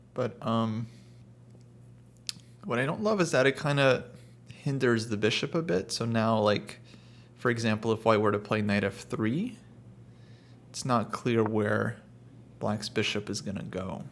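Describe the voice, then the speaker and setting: Fairly slow, medium-pitched speech from a man with an American accent, ordinary pitch variation and long, frequent pauses. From California, US. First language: Russian. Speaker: chess commentator. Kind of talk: live chess commentary.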